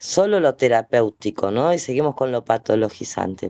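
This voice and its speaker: A man speaks in a dark, mellow tone, the sound dry and close with no echo and the background quiet. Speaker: event moderator. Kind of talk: panel discussion.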